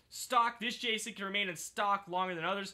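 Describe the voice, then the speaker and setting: The man's voice is raised and projected, pitched high. His tone is bright and sharp. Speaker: gaming YouTuber. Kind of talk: casual video game commentary. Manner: halting, self-correcting.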